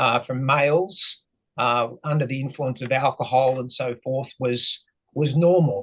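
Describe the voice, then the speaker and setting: A somewhat breathy man speaks at a fairly slow pace with fairly even intonation and a medium pitch. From Australia, Sydney. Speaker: mental health advocate. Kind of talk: personal testimony in podcast interview. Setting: podcast interview. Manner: hesitant, many fillers.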